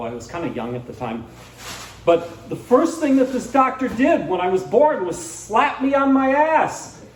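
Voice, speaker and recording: Noticeable background noise and audible room echo accompany a man talking at a moderate pace. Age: 60s. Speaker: stand-up comedian. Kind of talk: stand-up. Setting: stage with audience. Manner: halting, with many fillers.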